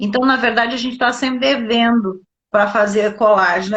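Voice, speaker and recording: Her voice is somewhat breathy and fairly high-pitched. The woman keeps a moderate pace. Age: 60s. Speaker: doctor and nutrition specialist. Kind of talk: live interview on health. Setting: live online broadcast.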